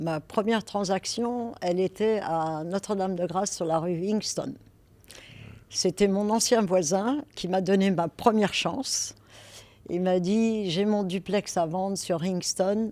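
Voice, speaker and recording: A woman with a Parisian accent speaks very slowly at a medium pitch, her tone dark and mellow. The pitch varies in an ordinary way, and the recording is very clean with a silent background. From France, Paris. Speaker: real estate broker. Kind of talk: interview. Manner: hesitant, with fillers.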